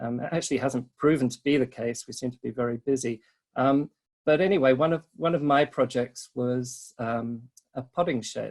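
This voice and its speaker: A medium-pitched man in a British accent, at a moderate pace with fairly even intonation. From Britain. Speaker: resort sales and marketing rep. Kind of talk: webinar presentation. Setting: online webinar. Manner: hesitant, many filler ums.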